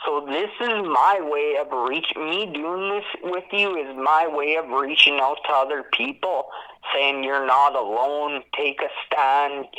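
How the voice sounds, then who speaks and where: Over noticeable background noise, a man with a fairly high pitch speaks very slowly with fairly even intonation. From Saskatchewan, Canada. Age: 20s. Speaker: formerly incarcerated man telling his story. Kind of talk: interview testimony.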